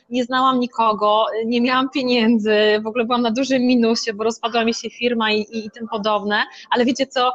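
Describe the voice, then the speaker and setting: The speaker moves at a fairly quick pace with hardly any pauses, over noticeable background noise. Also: woman, fairly high pitch for a woman. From Poland, Masuria (Szczytno). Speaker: motivational coach for women. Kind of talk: interview. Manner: animated.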